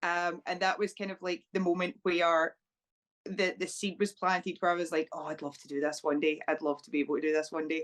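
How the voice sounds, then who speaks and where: A woman with a Scottish accent talks at a fairly quick pace in a fairly low pitch, her intonation fairly even and her loudness swinging widely. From Scotland, small town. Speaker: professional wrestler. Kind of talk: interview.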